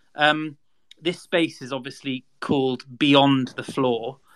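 The voice carries a British accent. The pace is moderate. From UK. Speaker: podcast host and content creator. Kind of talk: hosted online discussion. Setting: online audio space.

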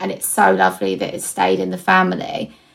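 A woman with an Essex accent. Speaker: podcast host. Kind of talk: interview.

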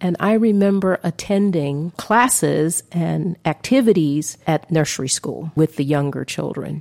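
A woman with a Southern US accent talks at a fairly slow pace, her fairly low pitch carrying a dark, mellow tone and ordinary pitch variation. The sound is dry and close, with no echo. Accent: Southern American. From US South, Atlanta. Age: 60s. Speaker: podcast host. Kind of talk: personal storytelling monologue.

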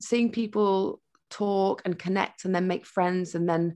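Over a quiet background, a woman speaks at a medium pitch with a West Yorkshire accent. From northern England, Huddersfield. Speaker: broadcaster and entrepreneur. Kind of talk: casual interview chat.

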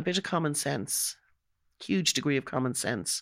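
This woman has a Dublin accent and speaks at a moderate pace. The recording is very clean, with a silent background. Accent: Irish (Dublin). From Ireland. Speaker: home care office manager. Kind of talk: podcast interview. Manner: animated.

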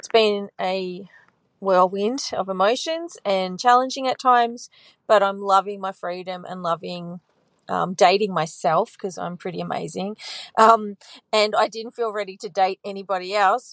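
A woman's unremarkable speaking voice, medium in pitch with ordinary pitch variation, at a moderate pace, with big swings in loudness and a dry, close sound with no echo. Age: 40s. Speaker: caller. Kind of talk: voicemail.

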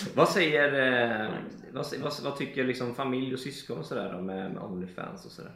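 Over noticeable background noise and audible room echo, a man at a medium pitch speaks with lively intonation and big swings in loudness. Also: moderate pace. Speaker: podcast co-host. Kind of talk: casual chat.

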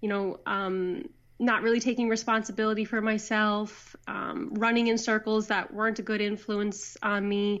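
A woman in a Newfoundland accent, fairly high pitched and monotone with flat intonation, at a moderate pace against a quiet background. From Newfoundland, Canada. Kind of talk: casual interview chat. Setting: phone call.

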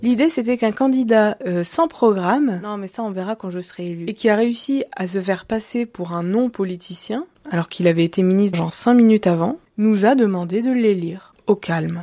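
Woman at a medium pitch, an ordinary speaking voice, moderate pace, ordinary pitch variation and big swings in loudness. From western France, Deux-Sèvres. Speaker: podcaster. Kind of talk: monologue. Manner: casual.

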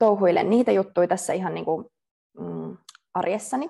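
A woman speaks at medium pitch in a dark, mellow tone with vocal fry and ordinary pitch variation. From Finland, Tampere. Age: 20s. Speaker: dancer. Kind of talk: interview. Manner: hesitant, many fillers.

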